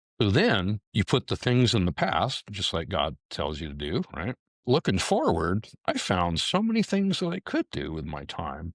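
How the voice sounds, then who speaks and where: In a very clean recording with a silent background, a man speaks with hardly any pauses, the sound dry and close with no echo. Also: moderate pace. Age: 60s. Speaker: retired police detective. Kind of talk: interview.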